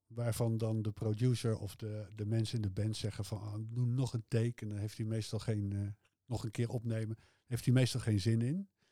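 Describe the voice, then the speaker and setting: On a very clean recording with a silent background, a man speaks at a moderate pace in a medium-pitched, dark, mellow, somewhat breathy voice with monotone, flat intonation. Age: 60s. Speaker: music fan, host's father. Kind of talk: casual interview about music. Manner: hesitant, many filler sounds.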